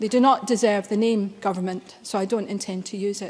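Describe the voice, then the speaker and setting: Intonation stays fairly even in this voice with a Glaswegian accent. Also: woman. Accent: Glaswegian Scottish. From Scotland, Glasgow. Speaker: member of parliament. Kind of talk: parliamentary speech. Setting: parliament chamber. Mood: solemn, grave. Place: hall. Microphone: podium.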